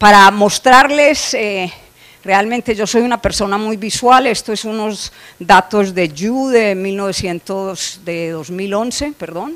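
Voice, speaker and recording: A woman's medium-pitched voice at a very slow pace, with big swings in loudness and noticeable background noise. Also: ordinary pitch variation. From Colombia. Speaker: animal nutrition scientist. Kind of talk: conference lecture. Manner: frequent filler hesitations.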